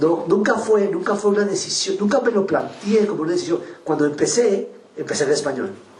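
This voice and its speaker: This man has a high pitch and a Spanish accent, talking at a moderate pace with lively intonation and long, frequent pauses. Audible room echo and noticeable background noise fill the recording. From Guatemala. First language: Spanish (speaking French). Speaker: writer. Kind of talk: literary interview via interpreter. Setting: public literary event with audience. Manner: halting in French.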